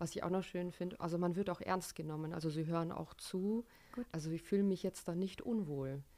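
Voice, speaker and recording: A woman with a dark, mellow tone. Her pitch sits fairly low. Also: ordinary pitch variation, fairly quick pace. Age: 20s. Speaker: events venue manager. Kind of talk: interview.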